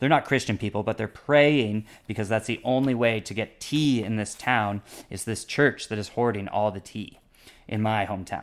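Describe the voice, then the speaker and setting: A man with a Canadian accent and a normal speaking voice, fairly low in pitch, with ordinary pitch variation at a moderate pace. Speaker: language learner. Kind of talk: casual interview.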